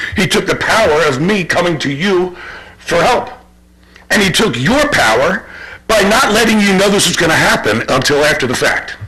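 A man with a high pitch projects a raised voice at a moderate pace, his pitch swinging very widely while his loudness stays very even, with audible room echo and noticeable background noise. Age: 60s. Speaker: resident making public comment. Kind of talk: public comment at township meeting. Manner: halting.

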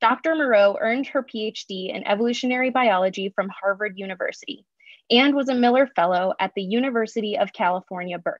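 Speaking at a fairly quick pace, a woman uses ordinary pitch variation. The sound is dry with no echo over a quiet background. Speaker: science program manager. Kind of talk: speaker introduction. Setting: video call. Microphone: video call.

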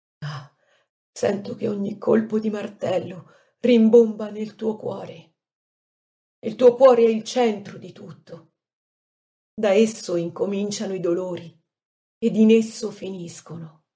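A woman speaks at a fairly slow pace and a fairly high pitch, with a dark, mellow, somewhat breathy tone. Her intonation is fairly even, her loudness swings widely, and she takes long, frequent pauses. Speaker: devotional reader. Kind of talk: reading aloud of a devotional prayer text.

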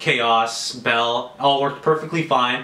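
Audible room echo surrounds a man whose tone is bright and sharp.

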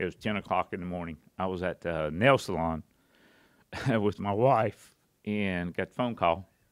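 The voice shows ordinary pitch variation. The background is quiet. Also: man. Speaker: podcast guest. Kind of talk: interview answer. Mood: personal, reflective, somber. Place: studio. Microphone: studio mic.

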